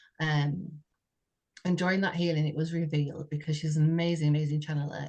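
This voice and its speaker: The voice is somewhat breathy, and the intonation is monotone and flat. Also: woman. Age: 60s. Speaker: podcast co-host sharing personal story. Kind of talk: heartfelt conversational testimony. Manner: halting, with frequent repetitions and fillers.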